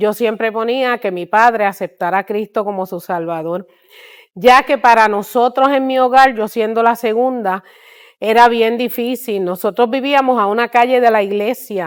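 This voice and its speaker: A normal speaking voice from a woman, pitched fairly high, at a moderate tempo and with ordinary pitch variation. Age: 60s. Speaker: missionary. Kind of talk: testimony.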